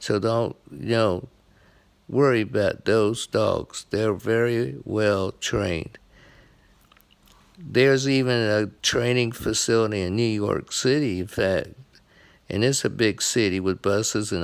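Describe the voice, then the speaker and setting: A man talks in a normal speaking voice at a fairly low pitch. His pace is fairly slow, with ordinary pitch variation. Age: 60s. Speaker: blind veteran sports vlogger. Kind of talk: casual monologue.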